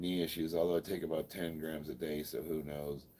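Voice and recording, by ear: With an American accent, a man talks at a fairly quick pace in an extremely low pitch.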